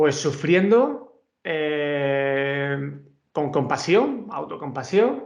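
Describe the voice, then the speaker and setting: A man speaks with a Murcian accent and lively intonation at a fairly high pitch. Audible room echo surrounds his voice. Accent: Murcian Spanish, drops letters. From Murcia, Spain. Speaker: university professor. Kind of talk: conference talk. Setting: video call.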